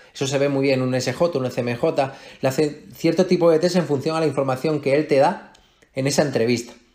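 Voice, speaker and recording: Fairly quick and fairly even in intonation, a man talks in an unremarkable speaking voice with a fairly high pitch. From Melilla, Spain. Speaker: fitness coach. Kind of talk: interview.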